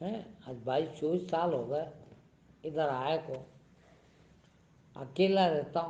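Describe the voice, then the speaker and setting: A man speaks in a fairly high pitch with a dark, mellow tone. Long, frequent pauses break up his speech, and audible room echo surrounds it. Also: ordinary pitch variation. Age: 70s. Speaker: spiritual teacher. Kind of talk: sermon. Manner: animated.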